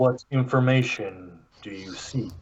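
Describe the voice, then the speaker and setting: A man speaks in a put-on character voice at a medium pitch. His pace is fairly slow. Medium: actual play. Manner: measured, formal.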